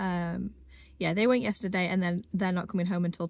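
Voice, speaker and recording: This is a woman speaking. The sound is dry, with no echo. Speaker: vlogger. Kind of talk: casual vlog chat. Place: car. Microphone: phone near.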